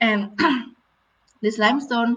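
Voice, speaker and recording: A very slow pace in an Indonesian accent. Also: woman. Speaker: marine conservation director. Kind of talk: storytelling talk. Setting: live virtual event. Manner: halting, with fillers.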